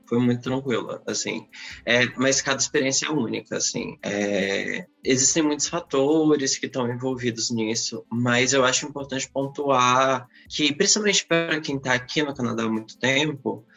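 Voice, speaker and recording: Here is a man with a normal speaking voice at a medium pitch. His pitch variation is ordinary. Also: moderate pace. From Brazil. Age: 20s. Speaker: podcast guest. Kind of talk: casual panel discussion.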